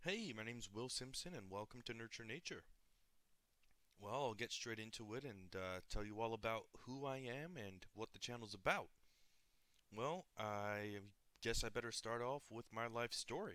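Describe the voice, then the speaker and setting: At a moderate pace, a bright, sharp voice with an American accent moves through ordinary pitch variation. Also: man, medium pitch for a man. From US Northeast. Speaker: nature video creator. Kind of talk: channel introduction monologue. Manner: casual, conversational.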